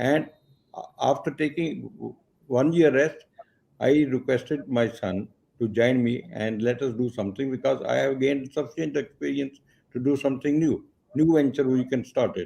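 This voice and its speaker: Here a man speaks at medium pitch. His tone is dark and mellow. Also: ordinary pitch variation, moderate pace. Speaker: exporter and business advisor. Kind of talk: interview. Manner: halting.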